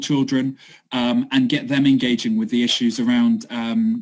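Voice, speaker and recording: Lively intonation marks this man's fairly high-pitched voice. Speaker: city sustainability project worker. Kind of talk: online talk presentation. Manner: fast.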